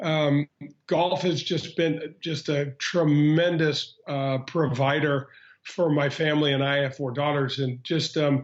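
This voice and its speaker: This man has a Midwestern American accent and a fairly high pitch. He talks at a fairly slow pace with very even loudness and monotone, flat intonation. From Missouri, St. Louis. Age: 50s. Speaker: former pro golfer. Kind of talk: interview. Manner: halting, many fillers.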